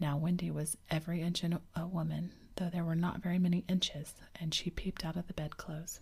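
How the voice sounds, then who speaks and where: A woman's fairly low, somewhat breathy voice with a dark, mellow tone, flat monotone intonation and a moderate pace. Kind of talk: ASMR audiobook reading for sleep. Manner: soft, calming.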